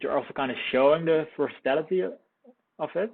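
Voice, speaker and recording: His intonation is lively. This man speaks with a non-native accent. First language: not English. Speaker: product reviewer. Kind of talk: casual commentary. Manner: halting.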